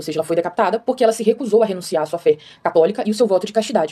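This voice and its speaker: This woman talks at a very fast pace with a medium pitch. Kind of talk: explainer monologue. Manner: casual, filler-heavy.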